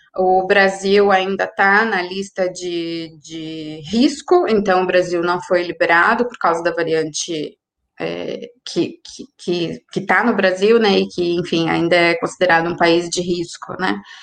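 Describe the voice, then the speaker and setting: A woman speaks at a fairly slow pace in a fairly low voice. Her intonation stays fairly even. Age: 30s. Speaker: foreign correspondent. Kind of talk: casual discussion. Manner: halting.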